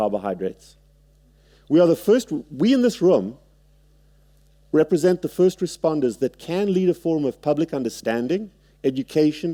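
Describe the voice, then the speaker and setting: With a South African accent, a man speaks at a moderate pace in a fairly high pitch and a dark, mellow tone, his pitch swinging very widely, all in a dry, close sound with no echo. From South Africa, Cape Town. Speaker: surgeon. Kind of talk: lecture. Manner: halting.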